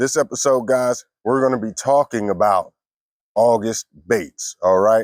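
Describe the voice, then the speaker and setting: A man speaks in a normal speaking voice at a medium pitch, with ordinary pitch variation and a fairly slow pace. The recording is very clean with a silent background and a dry, close sound with no echo. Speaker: fishing youtuber. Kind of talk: tutorial.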